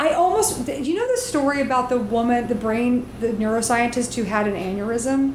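A woman with an American accent speaks at a moderate pace in a high pitch with ordinary variation. Her loudness stays very even, and there is noticeable background noise. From US South. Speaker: comedian and writer. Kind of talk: casual interview chat.

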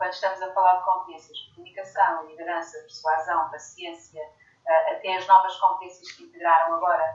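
An ordinary speaking voice from a woman at medium pitch, fairly quick and with fairly even intonation, with big swings in loudness. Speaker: leadership coach and author. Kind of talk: interview.

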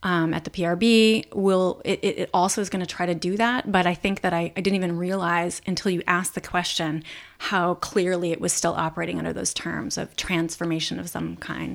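Using a normal speaking voice, a woman talks at a fairly quick pace with a fairly low pitch and fairly even intonation. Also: very clean recording, silent background. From Los Angeles. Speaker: writer and performer. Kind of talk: casual interview.

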